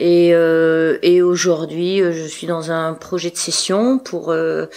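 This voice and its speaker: Noticeable background noise sits behind the speech. The pace is very slow and the intonation fairly even. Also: woman, fairly low pitch for a woman. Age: 60s. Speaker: trail club leader and race organizer. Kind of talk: podcast interview. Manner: talkative, hesitant.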